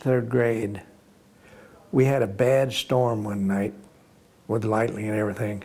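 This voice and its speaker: A man talks in a Florida accent. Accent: US Southern (Florida). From Florida, Palm Bay/Melbourne. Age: 80s+. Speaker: war veteran. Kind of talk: oral history interview. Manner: halting, with repetitions.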